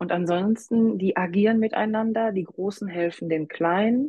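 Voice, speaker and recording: A woman of medium pitch has an unremarkable speaking voice, ordinary pitch variation and a moderate pace. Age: 40s. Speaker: hobby-horsing coach and association manager. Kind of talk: interview.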